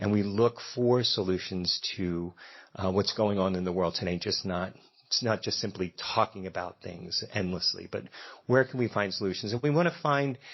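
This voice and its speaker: A man with a slight Philadelphia accent, fairly low in pitch, with lively intonation at a moderate pace. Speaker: event host at a democracy center. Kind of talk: event welcome speech. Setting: stage with audience and live band.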